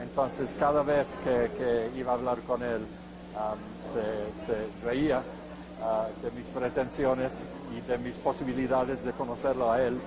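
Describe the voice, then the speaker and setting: Over noticeable background noise, a man with an English accent talks at a fairly slow pace with monotone, flat intonation. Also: medium pitch for a man. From England. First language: English (speaking Spanish). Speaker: biographer. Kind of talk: interview. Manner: halting, many fillers.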